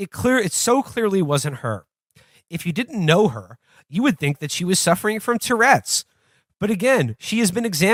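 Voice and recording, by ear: Reading aloud in a natural voice, lively intonation over a quiet background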